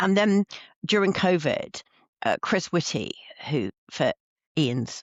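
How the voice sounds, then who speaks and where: Vocal fry and lively intonation in a man's voice. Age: 60s. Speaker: professor and business leader. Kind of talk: interview. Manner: halting, many restarts.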